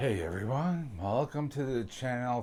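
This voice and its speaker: A man talks fairly slowly, and the recording is very clean with a silent background. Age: 60s. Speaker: guitar hobbyist YouTuber. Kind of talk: tutorial. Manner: halting, many fillers; casual.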